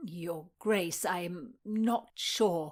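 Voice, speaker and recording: A female-sounding voice performs a put-on character. The pitch sits in the middle range. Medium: read story. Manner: deferential, hesitant.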